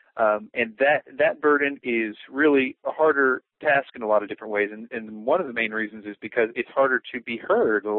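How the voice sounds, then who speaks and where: A plain, everyday voice speaks at a moderate pace with hardly any pauses. Its pitch variation is ordinary, while its loudness swings a lot. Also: man, medium pitch for a man. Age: 20s. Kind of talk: interview. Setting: phone call.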